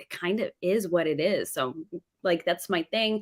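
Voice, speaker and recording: American-accented speech from a woman, with ordinary pitch variation. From New York City suburbs. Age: 30s. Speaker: former teacher, live streamer. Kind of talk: casual chat.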